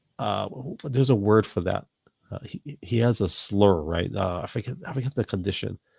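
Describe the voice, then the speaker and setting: A man with a fairly low, somewhat breathy voice talks at a moderate pace with lively intonation, the sound dry and close with no echo. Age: 40s. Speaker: podcast host. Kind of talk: casual chat. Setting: live podcast. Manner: halting, repeats words.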